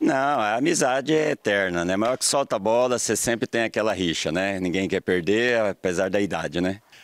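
An unremarkable speaking voice at a moderate pace, with hardly any pauses, very even loudness, and a dry, close sound with no echo on a very clean recording with a silent background. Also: man, fairly low pitch for a man, lively intonation. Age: 60s. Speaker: amateur footballer. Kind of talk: interview.

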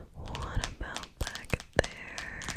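The speaker, a woman, is whispering throughout. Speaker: ASMR creator. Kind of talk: soft whispered ASMR talk. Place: home room. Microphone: phone near.

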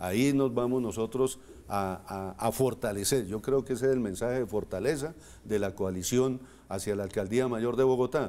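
His tone is dark and mellow, at a medium pitch for a man. The man talks at a moderate pace with ordinary pitch variation. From Colombia, Boyacá (Moniquirá); Boyacá, Colombia. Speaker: politician, mayoral candidate; politician, candidate. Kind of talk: TV interview. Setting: studio. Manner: halting, repeats words. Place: studio. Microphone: lapel.

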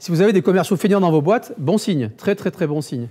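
A man's dark, mellow voice at a moderate pace, with ordinary pitch variation over a quiet background. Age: 50s. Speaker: digital marketing agency founder giving a talk; conference speaker. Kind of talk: conference talk. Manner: halting, many repetitions and fillers. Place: meeting room.

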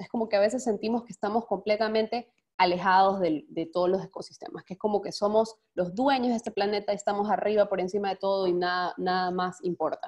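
Behind her, the setting is quiet. A woman speaks very fast. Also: ordinary pitch variation. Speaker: foundation director, speaker; webinar presenter. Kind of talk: webinar presentation. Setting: video call. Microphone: webcam.

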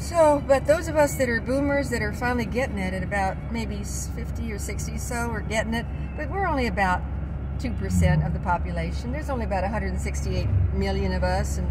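Over loud background noise, a woman with an American accent speaks at a fairly quick pace. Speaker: vlogger. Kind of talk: casual monologue. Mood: opinionated, earnest. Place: car. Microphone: phone near.

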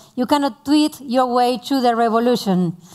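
Against a quiet background, a woman with a Spanish accent speaks at a moderate pace in a high voice with ordinary pitch variation. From Argentina. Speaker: tech entrepreneur; speaker. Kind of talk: panel interview. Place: stage. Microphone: headset.

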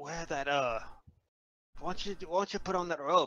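Using a put-on character voice, a man speaks in a fairly high pitch.

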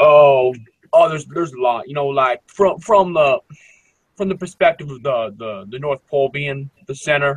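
Somewhat breathy and at a moderate pace, a man with an American accent speaks in a fairly high pitch, the sound dry and close with no echo. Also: big swings in loudness. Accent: urban US dialect noted by others. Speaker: caller. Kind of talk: casual chat. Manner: halting, many fillers and repeats.

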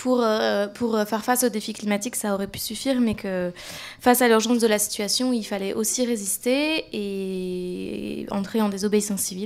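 Her pace is moderate and her intonation fairly even. The woman's pitch is fairly high. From northern France, Roubaix; France. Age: 20s. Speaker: climate activist, NGO campaigner; panelist. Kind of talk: panel discussion. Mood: calm, earnest. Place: hall. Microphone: handheld.

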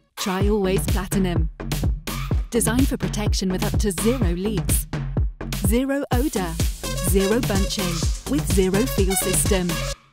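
Loud music plays in the background as a woman speaks in a dry sound with no echo. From United Kingdom. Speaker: voice actor. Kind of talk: TV commercial read. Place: booth.

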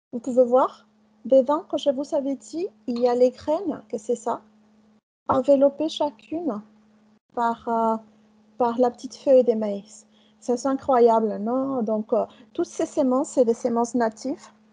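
A Spanish accent in a dark, mellow tone, fairly slow, with long, frequent pauses and ordinary pitch variation. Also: woman, high pitch for a woman. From Mexico. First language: Spanish (speaking French). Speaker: chef; guest lecturer. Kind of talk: lecture. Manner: halting. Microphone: video call.

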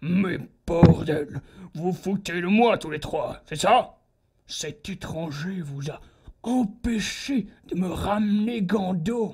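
The speech moves at a very slow pace with long, frequent pauses. Its loudness swings widely. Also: man, high pitch for a man. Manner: mocking, silky, then cold and menacing.

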